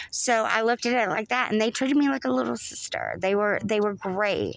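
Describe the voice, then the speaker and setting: A woman's fairly high-pitched voice with a Southern US accent. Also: fairly quick pace. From US South, North Florida. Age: 40s. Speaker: Navy veteran. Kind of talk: casual chat. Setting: podcast recording.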